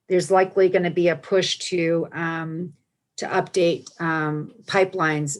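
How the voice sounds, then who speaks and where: A woman's fairly low pitch with an American accent, a very slow pace and fairly even intonation. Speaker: environmental advocacy speaker. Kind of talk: briefing on a video call. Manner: halting, many fillers and restarts.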